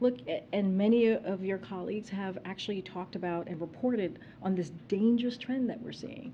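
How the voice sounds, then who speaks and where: In a plain, everyday voice, a woman with an American accent talks at a moderate pace and medium pitch with ordinary pitch variation. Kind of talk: press briefing, formal spoken remarks.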